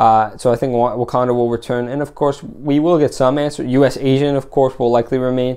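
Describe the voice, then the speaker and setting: Over a quiet background, a man speaks at a very fast pace with a dark, mellow tone and fairly even intonation. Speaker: TV show reviewer. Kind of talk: solo video review. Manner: halting, many fillers.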